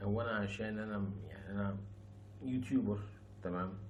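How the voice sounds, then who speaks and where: A somewhat breathy man's voice, fairly low in pitch, with audible room echo. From Egypt. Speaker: YouTuber, former rapper. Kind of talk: casual vlog monologue. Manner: soft-spoken.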